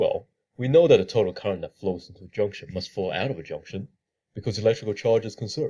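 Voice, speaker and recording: A man talks at a very fast pace with lively intonation. His tone is dark and mellow, and somewhat breathy. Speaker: engineering student presenting a tutorial. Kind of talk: tutorial.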